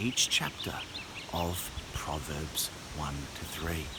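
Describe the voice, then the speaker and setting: Over noticeable background noise, a soft-spoken man talks in a very deep, low voice. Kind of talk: casual talk to camera. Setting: outdoors.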